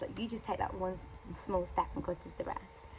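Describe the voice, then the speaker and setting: A woman talks with a British accent. Her pace is fairly quick. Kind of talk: casual vlog testimony. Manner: rambling filler-heavy chat.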